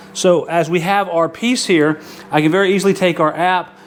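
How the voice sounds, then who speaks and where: Over noticeable background noise, a man with a high-pitched voice speaks with fairly even intonation. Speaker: outdoor YouTuber. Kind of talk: tutorial. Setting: garage studio. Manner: loud.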